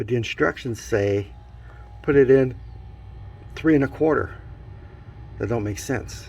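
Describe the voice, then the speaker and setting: A man with vocal fry speaks at a moderate pace with ordinary pitch variation. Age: 70s. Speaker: DIY reviewer. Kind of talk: casual product review walkthrough. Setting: outdoors. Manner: casual, thinking aloud with fillers.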